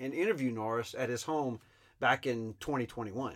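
A man with an ordinary speaking voice at a moderate pace. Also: very clean recording, silent background. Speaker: podcast host and oral historian. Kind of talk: scripted narration.

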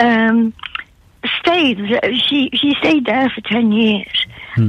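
Speaking fairly slowly with a Geordie accent, a woman has a fairly high pitch and ordinary pitch variation. Noticeable background noise runs throughout. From northern England, Newcastle upon Tyne. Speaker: art historian and author. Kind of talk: radio interview. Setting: phone call.

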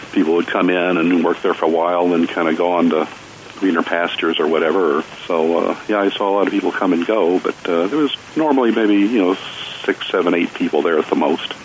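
A man talks at a very fast pace with a very deep, low pitch and ordinary pitch variation. His loudness stays very even over noticeable background noise. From Kentucky, Jessamine County. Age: 60s. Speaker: artist. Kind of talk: casual interview. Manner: halting, many fillers.

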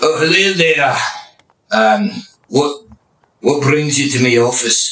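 Putting on a gruff character voice, a man speaks at a fairly high pitch with lively intonation, very slowly, with long, frequent pauses.

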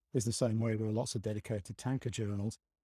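A man speaks at a very fast pace with a dark, mellow tone and a somewhat breathy sound. The audio is dry and close with no echo, a very clean recording with a silent background. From northern England, Stockton-on-Tees. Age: 50s. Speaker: short story writer, retired civil servant. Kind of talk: casual interview chat.

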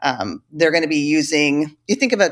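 A woman with an American accent and an ordinary speaking voice, fairly low in pitch, at a moderate pace on a very clean recording with a silent background. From eastern Oregon (Ontario). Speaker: school librarian. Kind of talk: interview.

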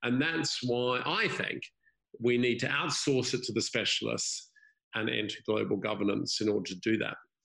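This man's medium-pitched voice carries a bright, sharp tone along with vocal fry. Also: ordinary pitch variation, moderate pace. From Australia, grew up moving abroad. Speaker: former banker, environmental non-profit founder. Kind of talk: casual chat.

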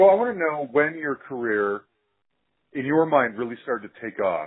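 Speaking with an American accent, a man moves at a fairly quick pace. His pitch swings are very wide. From Utah, US. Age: 40s. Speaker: podcast host. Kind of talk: interview.

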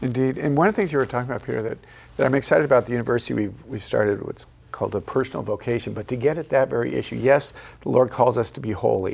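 At a very fast pace, a man talks with vocal fry and ordinary pitch variation. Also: medium pitch for a man. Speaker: priest and university president hosting a TV show. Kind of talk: panel discussion. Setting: studio.

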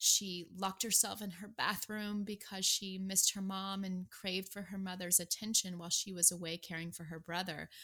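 A woman with an American accent speaks at a medium pitch in a bright, sharp tone, at a moderate pace with hardly any pauses. Her intonation is monotone and flat, yet her loudness swings widely. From US Midwest (Nebraska). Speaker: podcast host, patient advocate. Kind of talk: podcast hosting.

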